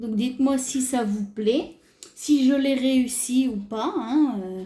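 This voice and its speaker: A woman is talking. Her pitch is high. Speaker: craft youtuber. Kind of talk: tutorial. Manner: hesitant, filler-heavy.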